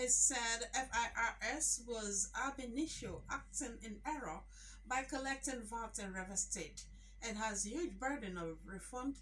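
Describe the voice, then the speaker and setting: Through noticeable background noise, a woman talks at a fairly slow pace, her pitch fairly high with ordinary variation. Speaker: radio newsreader. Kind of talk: radio news bulletin. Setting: radio studio.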